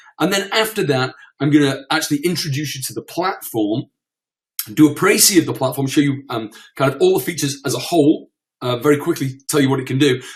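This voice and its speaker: Talking at a very fast pace, a man with a British accent has a somewhat breathy voice at a fairly high pitch. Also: ordinary pitch variation. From UK. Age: 40s. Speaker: internet marketer. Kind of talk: webinar presentation. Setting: online webinar. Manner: halting, stammering.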